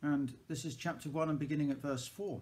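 This man has a dark, mellow tone and sounds somewhat breathy. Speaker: church service leader. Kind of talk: fervent prayer, intercession spoken slowly and earnestly to God; evening prayer service, liturgical reading. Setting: church service recorded on video. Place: home room. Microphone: webcam.

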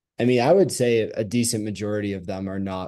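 A man's fairly low voice has a dark, mellow tone and fairly even intonation. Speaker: graduate student. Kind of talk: student panel answers.

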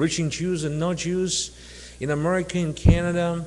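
At a moderate pace, a man talks in a high pitch with fairly even intonation. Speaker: speaker. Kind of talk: sermon. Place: church. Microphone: podium.

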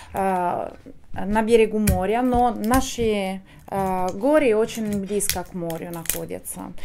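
A woman's dark, mellow voice with a non-native accent and ordinary pitch variation, over light background noise. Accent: foreign, speaks Russian well. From Italy, Abruzzo. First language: Italian (speaking Russian). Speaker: wine export manager. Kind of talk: interview. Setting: restaurant. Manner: halting, hesitant. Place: cafe.

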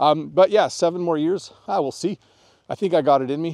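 In a Canadian accent, a man with a dark, mellow tone and fairly high pitch speaks at a moderate pace with ordinary pitch variation against a quiet background. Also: dry sound with no echo. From Canada. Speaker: English teacher. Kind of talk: tutorial; lesson. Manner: casual, friendly. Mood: friendly, relaxed. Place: open country. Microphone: lapel.

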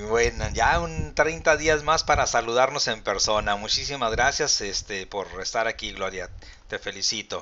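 Light background noise accompanies a man talking at a fairly slow pace. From Mexico. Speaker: pension advisor and channel host. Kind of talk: live-stream Q&A and explainer. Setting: live video stream. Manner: formal. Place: home room.

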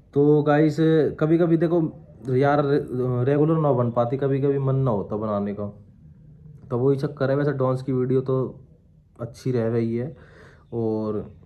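At a fairly slow pace, a man speaks at medium pitch with ordinary pitch variation and long, frequent pauses. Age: 20s. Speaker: vlogger. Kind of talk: casual Q&A vlog. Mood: sad, reflective. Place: home room. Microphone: phone near.

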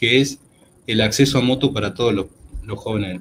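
Light background noise sits behind a man's voice. He sounds somewhat breathy, with ordinary pitch variation. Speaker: veterinarian, agricultural researcher. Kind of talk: lecture. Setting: video call.

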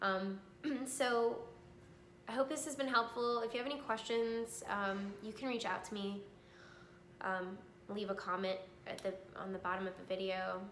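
With light background noise and audible room echo, a woman speaks with long, frequent pauses. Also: ordinary pitch variation, moderate pace. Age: 30s. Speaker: cancer survivor sharing her story. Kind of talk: personal testimony vlog. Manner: hesitant, many filler ums. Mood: calm, reflective, earnest. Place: home room. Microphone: phone near.

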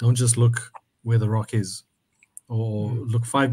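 Somewhat breathy and with a dark, mellow tone, a man at medium pitch speaks with monotone, flat intonation. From South Africa. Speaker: purpose coach. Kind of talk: casual discussion. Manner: halting.

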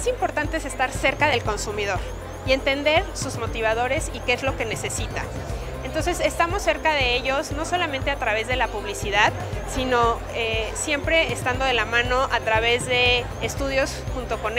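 Moderate-paced speech from a woman over clear music in the background. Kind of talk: interview answer. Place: hall. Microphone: lapel.

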